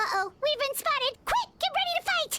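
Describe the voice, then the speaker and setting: A squeaky, put-on character voice at an extremely high pitch moves along at a moderate pace. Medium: read story. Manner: lively, expressive.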